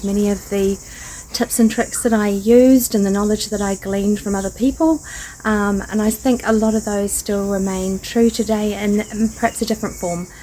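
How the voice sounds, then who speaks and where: Speaking at a moderate pace with fairly even intonation, a woman with a New Zealand accent and medium pitch is heard over noticeable background noise. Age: 50s. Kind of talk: casual talk to camera.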